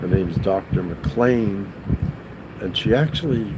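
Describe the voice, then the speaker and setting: Amid noticeable background noise and audible room echo, a man speaks in a fairly low voice. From Massachusetts, New England. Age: 60s. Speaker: youtuber. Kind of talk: casual live stream monologue. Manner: halting, many fillers.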